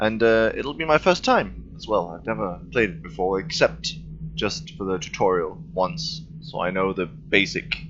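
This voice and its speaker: A man's loudness swings widely as he speaks at a moderate pace against noticeable background noise. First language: not English. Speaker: gaming video creator. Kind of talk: let's play commentary.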